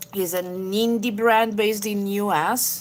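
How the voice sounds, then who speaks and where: A woman speaks with an Italian accent. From Italy, Genoa. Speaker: beauty YouTuber. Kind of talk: live makeup tutorial chatting with viewers. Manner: halting, many fillers.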